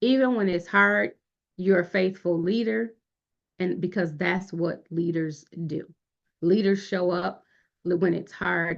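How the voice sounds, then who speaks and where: At a fairly slow pace, a woman with a medium pitch speaks in a plain, everyday voice. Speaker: youth leadership program facilitator. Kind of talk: online workshop lecture.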